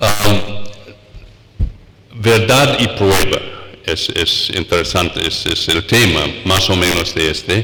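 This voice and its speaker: A man's fairly low voice moves very slowly with long, frequent pauses, against audible room echo and noticeable background noise. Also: ordinary pitch variation. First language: English (speaking Spanish). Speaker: law professor. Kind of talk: lecture. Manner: halting, many fillers.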